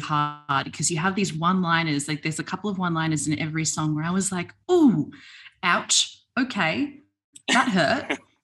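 At a moderate pace, a woman with an Australian accent speaks at a fairly low pitch with ordinary pitch variation over a quiet background. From Australia, Melbourne. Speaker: podcast host. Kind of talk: casual interview. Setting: video call.

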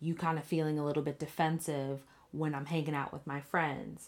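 A woman's very deep, low-pitched voice on a very clean recording with a silent background. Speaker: podcast co-host. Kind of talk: casual chat. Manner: chatty, laughs often.

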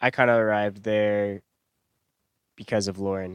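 At a moderate pace, a man with a fairly low pitch speaks in a dry, close sound with no echo. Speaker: podcast host. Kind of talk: casual chat.

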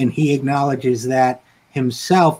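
A man with an American accent and an unremarkable speaking voice, medium in pitch, fairly even in intonation and fairly slow in pace. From upstate New York. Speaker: political talk show host, writer. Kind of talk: casual conversation.

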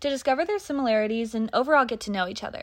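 The background is quiet as a woman speaks. Her pitch is high and her intonation lively. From Louisville, Kentucky. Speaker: college student, sorority officer. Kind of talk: prepared personal account. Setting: outdoors at the beach.

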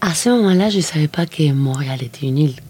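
A woman's very deep, low voice in a Spanish accent, at a moderate pace, over noticeable background noise. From Argentina, Mendoza. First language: Spanish (speaking French). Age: 50s. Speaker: filmmaker. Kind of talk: interview. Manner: halting, with frequent repetitions.

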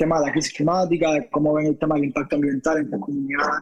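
An ordinary speaking voice with fairly even intonation. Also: man. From Cuba, Havana. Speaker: journalist and documentary maker. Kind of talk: interview conversation. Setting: remote call.

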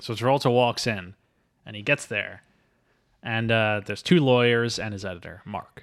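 A man with a medium pitch speaks at a moderate pace in a playful tone, his loudness swinging widely. He leaves long, frequent pauses on a very clean recording with a silent background. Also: ordinary pitch variation. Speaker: podcast host. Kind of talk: casual comedic chat about a movie. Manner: joking, playful.

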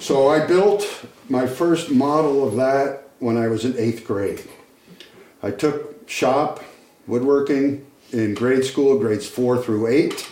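With a New England accent, a man talks very slowly at a fairly high pitch, his pitch varying in an ordinary way. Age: 70s. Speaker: retired carpenter and ship model builder. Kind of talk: casual chat.

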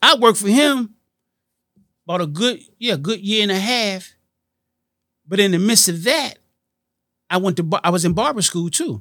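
With a raised, projected voice, a man speaks at a high pitch in a bright, sharp tone, using lively intonation at a moderate pace broken by long, frequent pauses. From Washington D.C. and Miami. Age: 50s. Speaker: entrepreneur and nightclub co-creator. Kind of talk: interview.

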